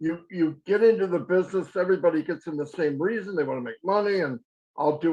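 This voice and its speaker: High pitch from a male speaker, plus ordinary pitch variation. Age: 60s. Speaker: network marketing presenter. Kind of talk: webinar testimony. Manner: halting, repeats words.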